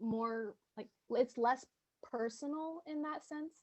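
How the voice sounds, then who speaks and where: A soft-spoken woman. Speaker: student leader. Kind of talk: audience question. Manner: halting, many fillers.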